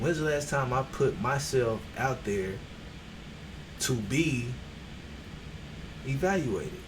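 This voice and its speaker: Soft-spoken with lively intonation, the voice comes through with audible room echo and noticeable background noise. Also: man. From Texas. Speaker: streamer. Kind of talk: motivational livestream talk. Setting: livestream on camera.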